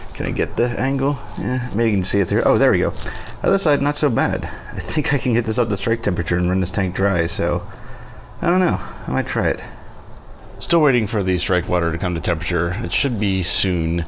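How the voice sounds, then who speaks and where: A man speaks at a fairly quick pace with a fairly low pitch and lively intonation. Audible room echo and noticeable background noise come through. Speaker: home brewer, video host. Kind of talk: tutorial. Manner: quiet, low volume.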